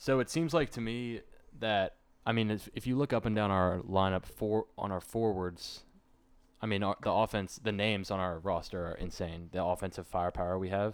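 In a very clean recording with a silent background, a man with a fairly low pitch and ordinary pitch variation speaks at a moderate pace in a plain, everyday voice. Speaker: podcast host. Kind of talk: casual sports chat.

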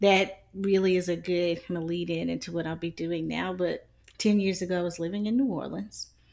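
A woman's ordinary speaking voice with an American accent, fairly low in pitch and at a moderate pace, in a very clean recording with a silent background. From South Carolina. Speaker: podcast co-host. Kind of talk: casual chat.

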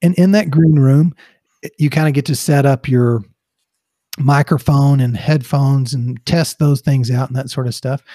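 Somewhat breathy and dark, mellow in tone, a man with a fairly high pitch speaks with a Texas accent in a dry, close sound with no echo. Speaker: podcast co-host. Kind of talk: casual chat, humorous banter. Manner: slow, deliberate.

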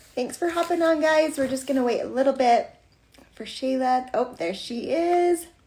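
The voice belongs to a woman with a high pitch and a dark, mellow tone. Her pitch varies in an ordinary way. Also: moderate pace. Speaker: podcast host. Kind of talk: live interview. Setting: livestream.

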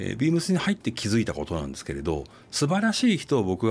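The very clean recording with a silent background captures very fast speech with very wide pitch swings. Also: man. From Tokyo. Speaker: fashion company executive. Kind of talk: interview. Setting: studio.

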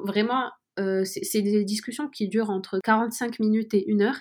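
This woman has a normal speaking voice, fairly high in pitch, delivered at a fairly slow pace with fairly even intonation. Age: 20s. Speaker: student intern in venture capital. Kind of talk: interview.

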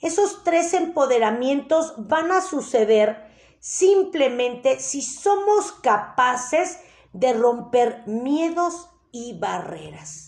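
Very slow speech with very wide pitch swings. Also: woman. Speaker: life coach. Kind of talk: live online workshop. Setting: live stream. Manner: animated.

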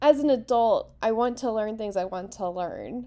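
With an American accent, a woman speaks very slowly at a high pitch with lively intonation and a dark, mellow tone. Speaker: podcast host. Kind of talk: casual discussion. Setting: online audio chat room.

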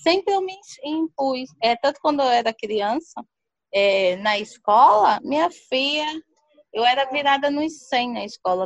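High pitch from a woman, ordinary pitch variation, a moderate pace. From Brazil, Paraíba (Serraria). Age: 30s. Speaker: community entrepreneur. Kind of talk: personal life story interview. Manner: animated.

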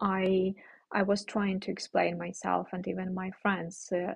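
Somewhat breathy and very slow, the voice stays monotone with flat intonation. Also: woman. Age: 20s. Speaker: podcast host. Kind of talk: solo podcast monologue. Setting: recording abroad while traveling. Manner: halting, many fillers.

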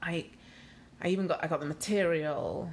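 A woman with a Yorkshire accent speaks at a fairly low pitch. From Leeds, northern England. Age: 30s. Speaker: blogger. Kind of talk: casual chat. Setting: living room at home.

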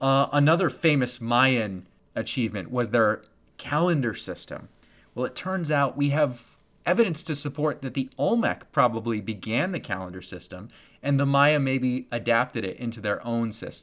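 In a very clean recording with a silent background, a man with an unremarkable speaking voice and medium pitch talks at a moderate pace with lively intonation. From United States. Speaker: history teacher and podcast host. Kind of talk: educational monologue. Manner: casual, filler-heavy.

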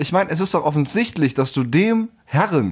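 This man speaks at a moderate pace with very wide pitch swings. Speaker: podcast co-host. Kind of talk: casual chat. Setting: home recording.

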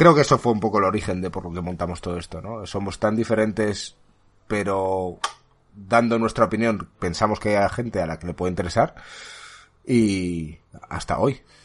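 A plain, everyday voice: a man with fairly low pitch, ordinary pitch variation and a moderate pace. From Spain. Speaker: podcast host. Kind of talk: casual chat.

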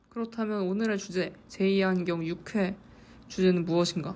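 A woman's dark, mellow tone at medium pitch, with fairly even intonation and a moderate pace. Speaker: podcast host. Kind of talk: solo podcast monologue.

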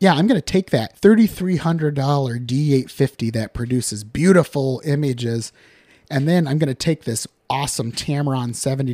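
A fairly high-pitched man with a Midwestern American accent at a moderate pace, with ordinary pitch variation and a dry, close sound with no echo. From western Iowa (Harrison County, rural). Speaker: photographer and podcast host. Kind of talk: solo podcast monologue. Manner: casual, conversational with fillers.

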